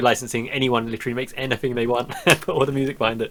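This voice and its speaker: Against noticeable background noise, a man speaks very fast at a medium pitch. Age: 30s. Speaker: podcast host. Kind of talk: casual chat. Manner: animated.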